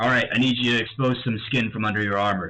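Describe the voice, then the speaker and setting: Using a put-on character voice, a man sounds raspy at medium pitch. He races along at a very fast pace with fairly even intonation. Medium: actual play. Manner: brusque, impatient.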